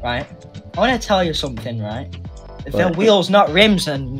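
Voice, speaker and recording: Music plays in the background as a man with a fairly high pitch speaks in very wide pitch swings. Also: moderate pace. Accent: British. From Britain. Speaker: online roleplay gamer.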